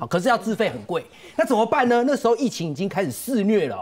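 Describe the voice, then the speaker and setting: A man talks at a fairly quick pace. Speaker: TV pundit. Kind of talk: TV political talk show, storytelling.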